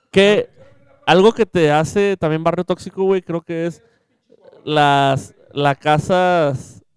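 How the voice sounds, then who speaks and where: In a dry, close sound with no echo, a man speaks very slowly at a high pitch with ordinary pitch variation and long, frequent pauses. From Mexico, Monterrey area (Santa Catarina). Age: 20s. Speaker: podcast co-host. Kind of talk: casual chat.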